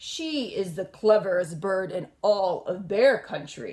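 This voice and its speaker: A woman puts on a character voice at medium pitch. She speaks at a fairly slow pace. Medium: read story. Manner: warm, speechmaking.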